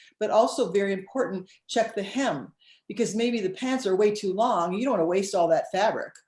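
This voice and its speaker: A woman talks at a fairly quick pace. She has a normal speaking voice. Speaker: sewing teacher. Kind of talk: tutorial.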